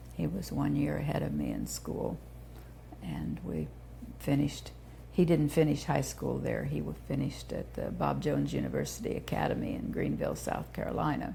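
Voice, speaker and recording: A woman speaks with an American accent at a moderate pace. Audible room echo surrounds her voice. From Indiana, US Midwest (Terre Haute). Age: 70s. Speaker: founder of a children's therapy center. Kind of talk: oral history interview.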